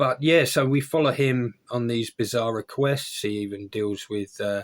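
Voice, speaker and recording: A man with an Essex accent speaks at medium pitch and a moderate pace with ordinary pitch variation. The recording is very clean, with a silent background. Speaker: book reviewer. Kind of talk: casual book review video. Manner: casual, with hesitations.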